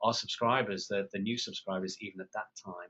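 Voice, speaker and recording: Speaking in a British accent, a man with a fairly low pitch keeps a moderate pace and a monotone, flat intonation. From England. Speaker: PR consultant and former journalist. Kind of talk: webinar interview. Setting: phone or web call.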